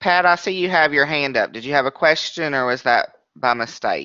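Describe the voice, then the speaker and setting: A man's unremarkable speaking voice, fairly high, at a moderate pace with ordinary pitch variation. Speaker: webinar trainer. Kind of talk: training webinar. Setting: online webinar.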